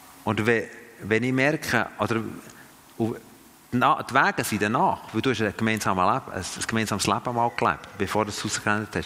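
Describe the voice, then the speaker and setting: Through noticeable background noise, a man speaks at a medium pitch and fairly slow pace with ordinary pitch variation. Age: 50s. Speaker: missionary and church trainer. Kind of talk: teaching talk to a group. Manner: halting, many fillers and restarts.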